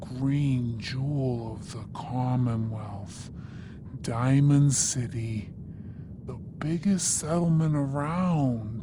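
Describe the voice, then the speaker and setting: Over loud background noise, a put-on character voice at a low-to-middle pitch moves at a very slow pace. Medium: video game. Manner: folksy, drawling.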